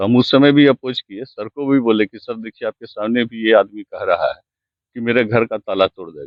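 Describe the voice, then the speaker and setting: At a medium pitch, a man speaks with fairly even intonation and big swings in loudness. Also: moderate pace. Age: 60s. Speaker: complainant landowner. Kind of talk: interview.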